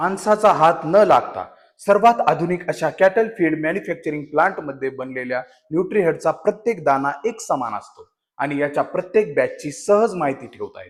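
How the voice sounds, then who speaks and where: The man's pitch is high. His intonation is lively. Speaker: voice actor. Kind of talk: brand commercial narration in Marathi for a cattle feed company. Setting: studio.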